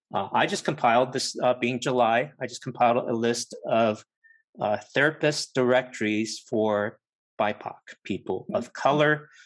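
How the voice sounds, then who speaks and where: In a plain, everyday voice, a man talks at a fairly slow pace with a medium pitch and ordinary pitch variation. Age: 50s. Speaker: podcast host. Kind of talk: casual discussion.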